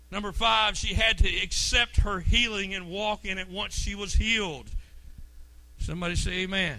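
Raised and projected, a man's high, bright, sharp voice sounds animated at a moderate pace with ordinary pitch variation. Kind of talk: sermon, preacher in full flow.

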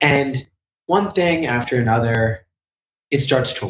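A man is talking. His voice is somewhat breathy. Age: 20s. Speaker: artist and NFT project founder. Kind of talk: interview. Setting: video call. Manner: halting.

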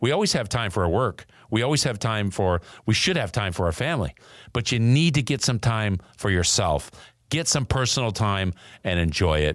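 Very wide pitch swings carry this man's upbeat tone. The recording is very clean, with a silent background. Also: moderate pace, very even loudness. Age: 60s. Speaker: podcast host and former professional baseball player. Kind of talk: motivational monologue; promo for own merchandise.

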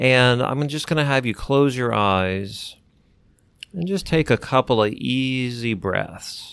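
A man with an ordinary speaking voice talks at a medium pitch and a fairly slow pace, with ordinary pitch variation. The recording is very clean, with a silent background. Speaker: clinical hypnotherapist and co-host. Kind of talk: guided relaxation exercise. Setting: podcast. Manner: slow, calm, soothing, instructing the listener step by step.

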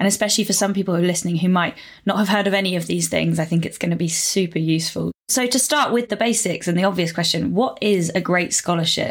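With an enthusiastic tone and vocal fry, a woman rattles along at a very fast pace. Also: medium pitch for a woman, ordinary pitch variation, very even loudness. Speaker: podcast host. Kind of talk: podcast interview.

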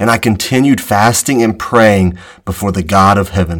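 A normal speaking voice from a man, fairly low in pitch, with ordinary pitch variation at a moderate pace. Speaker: podcast host. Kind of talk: Bible teaching podcast with scripture reading. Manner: earnest, reverent, solemn.

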